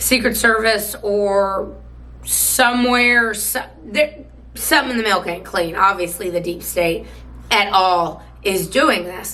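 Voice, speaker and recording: Speaking very slowly, a woman is heard in a room with clear echo and a fair amount of background noise. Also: medium pitch for a woman, ordinary pitch variation. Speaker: political commentary host. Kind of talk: political commentary monologue. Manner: casual, hesitant with fillers.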